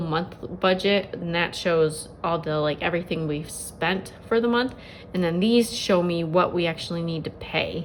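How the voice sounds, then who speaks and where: Fairly low in pitch, a woman speaks with fairly even intonation. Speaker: budget planner vlogger. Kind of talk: casual tutorial. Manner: many filler words.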